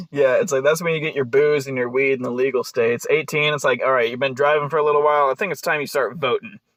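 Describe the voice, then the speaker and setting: This man's voice sits fairly high, with ordinary pitch variation. He speaks very fast, hardly pausing. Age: 20s. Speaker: podcast host. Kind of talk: podcast interview. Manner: casual.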